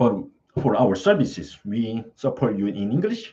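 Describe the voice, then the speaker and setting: In a non-native accent, a man speaks with a dark, mellow tone. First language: not English. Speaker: study-abroad service presenter. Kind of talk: live Q&A stream. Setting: live stream. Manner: halting, with frequent fillers.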